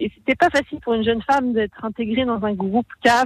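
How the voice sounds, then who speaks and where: Somewhat breathy and fairly high in pitch, a woman talks at a fairly quick pace with ordinary pitch variation, the sound dry and close with no echo. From Haute-Savoie, France. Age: 30s. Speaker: mountain guide and police rescuer. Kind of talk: radio interview. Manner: hesitant.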